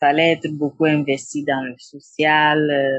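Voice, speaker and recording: Very slowly, a woman talks in a very deep, low pitch. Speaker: psychotherapist. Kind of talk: interview. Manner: halting.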